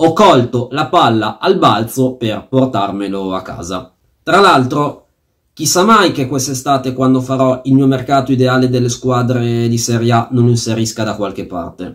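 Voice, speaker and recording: A man with a medium pitch and ordinary pitch variation, at a moderate pace over a quiet background. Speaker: fantasy football YouTuber. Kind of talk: angry rant about a fantasy football auction, venting with swearing and sarcasm. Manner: fuming and indignant, sarcastic, stressing words with fury. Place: home room. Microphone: phone near.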